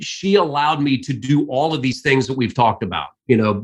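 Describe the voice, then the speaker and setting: A man speaks with an American accent and a fairly high pitch. His pace is moderate. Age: 60s. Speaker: sports play-by-play announcer. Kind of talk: interview.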